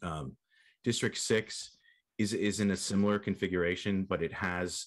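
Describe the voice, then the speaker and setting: The setting behind him is quiet. This man's intonation stays fairly even. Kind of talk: presentation to commission. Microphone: video call.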